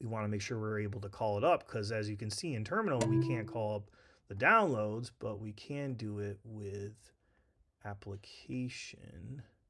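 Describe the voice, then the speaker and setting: Fairly low in pitch, this man has a plain, everyday voice with ordinary pitch variation. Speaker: tech tutorial instructor. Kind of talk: tutorial. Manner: casual, filler-heavy.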